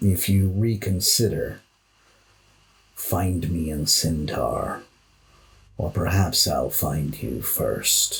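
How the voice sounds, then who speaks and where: A man puts on a character voice, very deep and low in pitch with very wide pitch swings. He speaks at a very slow pace, leaving long, frequent pauses. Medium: actual play. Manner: measured, authoritative.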